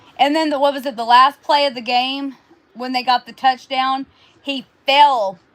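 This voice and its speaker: A woman with a high pitch speaks at a moderate pace with fairly even intonation. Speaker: sports predictions co-host. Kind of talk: casual sports chat. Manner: stuttering, repeating words.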